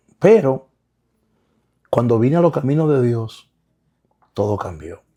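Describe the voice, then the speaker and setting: A man's dark, mellow voice at a medium pitch, fairly slow in pace, with very wide pitch swings. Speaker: pastor and author. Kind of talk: interview. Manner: halting, repeats words.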